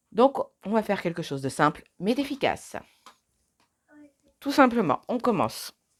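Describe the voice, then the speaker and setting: Long, frequent pauses break up a woman's speech, which has vocal fry and very wide pitch swings, in a very clean recording with a silent background. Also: fairly high pitch for a woman, moderate pace. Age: 30s. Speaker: beauty vlogger. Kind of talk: tutorial. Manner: casual, chatty.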